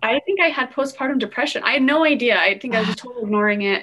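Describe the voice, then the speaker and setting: A woman speaks at a very fast pace. Her pitch varies in an ordinary way. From Utah. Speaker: architecture student and mother. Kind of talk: casual chat.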